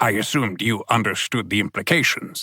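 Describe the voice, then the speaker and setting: A man puts on a character voice at a medium pitch and a fairly quick pace. The recording is very clean, with a silent background. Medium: read story. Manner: formal, unflappable calm.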